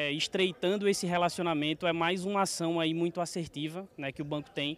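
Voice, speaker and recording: Here a man with a fairly high pitch and ordinary pitch variation has an unremarkable speaking voice. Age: 30s. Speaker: bank manager. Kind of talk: interview.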